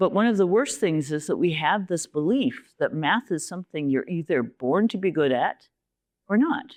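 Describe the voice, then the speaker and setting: A woman with a Canadian accent at a fairly slow pace and fairly low pitch, with very wide pitch swings, in a very clean, dry, close recording with a silent background and no echo. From Canada. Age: 70s. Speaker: university leader and mathematician giving a talk. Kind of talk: lecture. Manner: animated.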